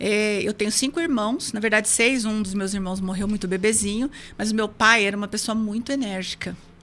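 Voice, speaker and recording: A woman with a plain, everyday voice talks at a fairly quick pace with fairly even intonation. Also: fairly high pitch for a woman. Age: 60s. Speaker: hypnotherapist. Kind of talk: interview.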